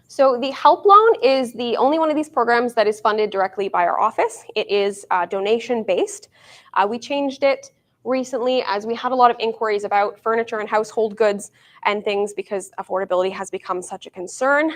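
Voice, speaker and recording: A woman with a Canadian accent talks at a fairly quick pace, her fairly high pitch showing ordinary variation. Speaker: councillor's office staff presenting programs. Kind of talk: town hall presentation. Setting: town hall meeting with audience, streamed. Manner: fast.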